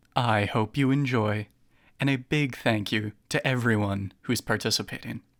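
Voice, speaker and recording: An unremarkable speaking voice from a man of medium pitch, with a moderate pace, fairly even intonation, very even loudness, and a dry, close sound with no echo on a very clean recording with a silent background. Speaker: audiobook narrator. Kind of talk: casual podcast-style introduction.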